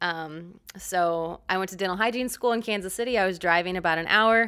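This woman has a normal speaking voice at medium pitch, with fairly even intonation. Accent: American. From Missouri, US Midwest. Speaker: fitness entrepreneur, former dental hygienist. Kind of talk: casual interview.

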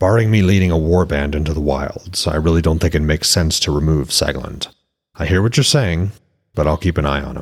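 In a put-on character voice, a man speaks at an extremely low pitch with a slightly husky edge, keeping a fairly quick pace and lively intonation.

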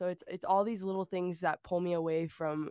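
An ordinary speaking voice from a woman, fairly low in pitch, with fairly even intonation at a moderate pace, in a dry, close sound with no echo and a quiet background. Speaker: ROTC cadet. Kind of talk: casual chat.

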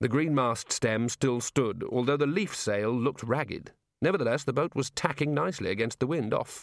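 The background stays quiet. Against it, a voice reads naturally.

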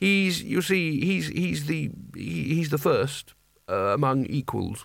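A man does a put-on character voice at a slow pace, with vocal fry and a fairly high pitch. His tone is fairly bright and his pitch varies in an ordinary way.

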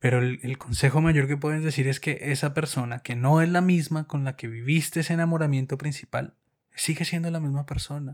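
Over a very clean recording with a silent background, a man with an unremarkable speaking voice talks at a fairly quick pace and fairly high pitch, with fairly even intonation. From Colombia. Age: 30s. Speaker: podcast co-host. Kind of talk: casual chat.

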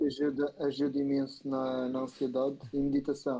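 A man speaks with a fairly high pitch and a dark, mellow tone. His intonation stays monotone and flat. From Madeira, Portugal. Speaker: YouTuber and TikToker. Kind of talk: casual chat. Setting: live stream.

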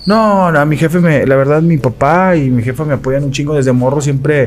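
An unremarkable speaking voice moves at a moderate pace. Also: man. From Monterrey, Mexico. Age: 40s. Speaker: radio sports commentator. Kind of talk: casual chat.

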